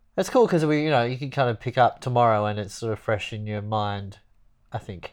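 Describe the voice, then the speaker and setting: Over a quiet background, a man with an Australian accent talks at a fairly quick pace with ordinary pitch variation. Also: medium pitch for a man. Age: 40s. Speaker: podcast co-host. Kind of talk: casual chat. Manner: jokey, laughing.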